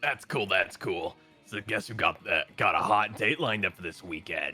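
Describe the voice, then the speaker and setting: Putting on a raspy character voice at a fairly low pitch, a man speaks at a moderate pace with faint music in the background. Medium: game stream. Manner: bro slang, casual.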